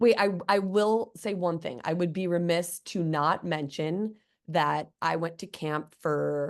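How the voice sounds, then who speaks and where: Very slowly, a woman with a slight Midwestern accent speaks at a fairly low pitch with ordinary pitch variation, against a quiet background. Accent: slight Midwestern twang. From US Midwest, Chicago. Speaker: guest. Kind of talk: casual chat.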